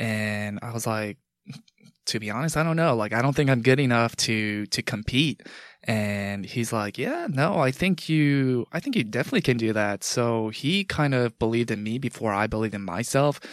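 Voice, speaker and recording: A man with an American accent talks in a plain, everyday voice with ordinary pitch variation. The recording is very clean, and the background is silent. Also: medium pitch for a man, moderate pace. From New York, Long Island. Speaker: corporate consultant and bodybuilder. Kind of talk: casual chat.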